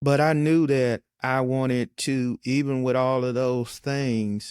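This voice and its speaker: Speaking at a very slow pace and a medium pitch, a man uses monotone, flat intonation. The sound is dry and close, with no echo. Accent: slight Southern US. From western Michigan. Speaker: county administrator. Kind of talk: interview.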